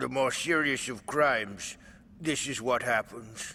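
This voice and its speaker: Putting on a cartoonish character voice, a man speaks raspy and fairly slow, at a medium pitch with ordinary pitch variation. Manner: gruff, threatening.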